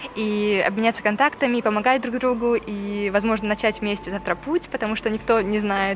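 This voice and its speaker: A woman with fairly high pitch, fairly quick pace and fairly even intonation over noticeable background noise. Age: 20s. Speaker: travel vlogger. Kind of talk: vlog to camera.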